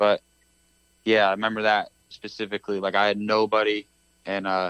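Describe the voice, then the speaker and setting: A man's monotone, flat delivery with a dry, close sound and no echo. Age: 20s. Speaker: pro motocross racer. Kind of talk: casual interview.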